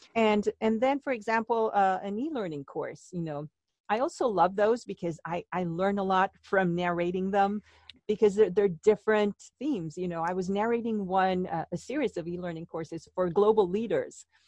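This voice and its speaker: A woman with a slight Mexican accent, medium pitch, ordinary pitch variation and a moderate pace, in a dry, close sound with no echo. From Mexico. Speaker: actress and voice artist. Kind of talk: interview conversation.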